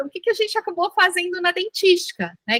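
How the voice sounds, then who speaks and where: A woman speaks in a raised, projected voice with a bright, sharp tone. The sound is dry and close, with no echo. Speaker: dentistry professor leading a workshop. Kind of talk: online workshop lecture.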